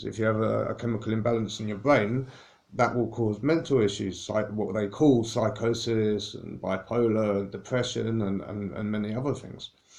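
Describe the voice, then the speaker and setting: Speaking at a fairly quick pace, a man has a fairly low pitch and fairly even intonation. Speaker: spiritual wellness speaker. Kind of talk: informal talk to camera. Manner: fast; halting, self-correcting.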